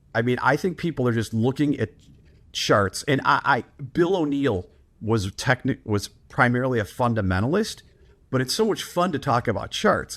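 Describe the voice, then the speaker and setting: With lively intonation and a medium pitch, a man is heard on a very clean recording with a silent background. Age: 60s. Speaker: professional trader. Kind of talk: interview. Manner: animated.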